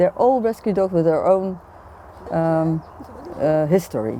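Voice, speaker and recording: A woman with a Dutch accent talks at a fairly slow pace and a medium pitch. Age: 60s. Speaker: retired intensive care nurse. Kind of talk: interview answer.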